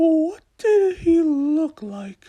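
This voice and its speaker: A squeaky, put-on character voice from a man, pitched extremely high. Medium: read story. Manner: inquisitive.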